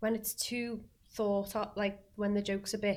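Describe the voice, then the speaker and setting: The woman's voice is somewhat breathy. Her pitch sits at a medium level. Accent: Liverpool. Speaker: singer and actress. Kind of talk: casual chat. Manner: animated.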